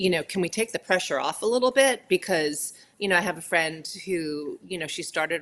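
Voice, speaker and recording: A woman talks in a plain, everyday voice. Her pace is fairly quick and her pitch varies in an ordinary way. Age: 60s. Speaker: plant-based cooking teacher and health coach. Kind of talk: casual chat.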